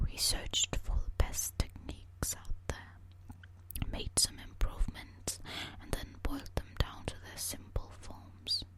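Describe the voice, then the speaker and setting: Whispering at a very slow pace, the speaker is heard over noticeable background noise. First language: not English. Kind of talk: ASMR whispered book reading. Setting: eating hard candy while reading. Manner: whispered, relaxing.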